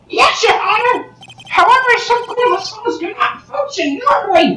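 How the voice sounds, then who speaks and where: A put-on character voice sits at an extremely high pitch. It moves along at a moderate pace. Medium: fan dub. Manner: shouting, emphatic.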